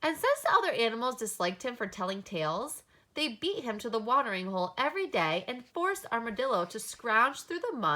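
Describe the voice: The words are simply read aloud in a plain way.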